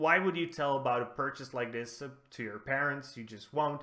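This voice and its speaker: A man's bright, sharp voice at a moderate pace, with ordinary pitch variation. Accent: non-native. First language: not English. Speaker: gaming news host. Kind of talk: gaming news show, casual commentary. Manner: casual, with frequent fillers and restarts.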